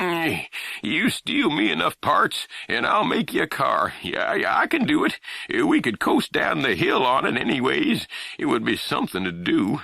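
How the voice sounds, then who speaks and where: Putting on a rumbling character voice, a man speaks at a moderate pace with very even loudness. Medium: read story. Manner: grumbling, folksy, ungrammatical.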